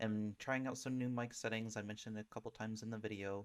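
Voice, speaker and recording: Soft-spoken, with fairly even intonation. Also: man. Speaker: gaming streamer. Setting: home desktop setup. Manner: hesitant, many fillers.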